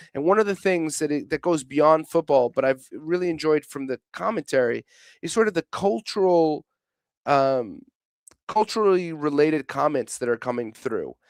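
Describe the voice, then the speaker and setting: A fairly high-pitched man talks with lively intonation at a moderate pace. The recording is very clean with a silent background, and the sound is dry and close with no echo. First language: Portuguese. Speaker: football pundit. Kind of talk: casual chat. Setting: studio. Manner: halting, many false starts.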